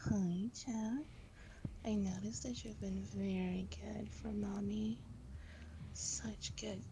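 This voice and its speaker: A put-on character voice, breathy, over loud background noise. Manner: doting, praising.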